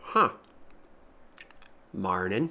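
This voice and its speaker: A put-on character voice, low in pitch and raspy, does the talking. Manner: mumbled, sleepy greeting.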